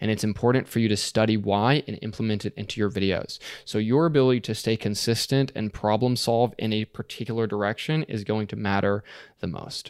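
A man with a plain, everyday voice, fairly low and fairly quick, in a very clean recording with a silent background. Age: 20s. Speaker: YouTuber teaching screenwriting. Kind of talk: interview.

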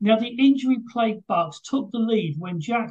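At a moderate pace, the speaker talks in a British accent.

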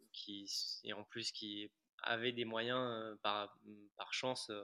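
This man's voice sits at a medium pitch. Behind him, the background stays quiet. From Paris and Ajaccio, Corsica. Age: 20s. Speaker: adventurer and author. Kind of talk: interview conversation.

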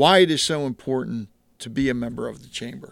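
At a moderate pace, a man speaks in a plain, everyday voice with a fairly high pitch. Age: 50s. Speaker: podcast host, Marine veteran. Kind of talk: interview. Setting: in person.

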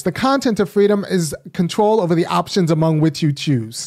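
The speaker talks at a fairly quick pace in an American accent. The recording is very clean, with a silent background. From California. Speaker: political commentator, academic. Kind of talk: live solo political commentary.

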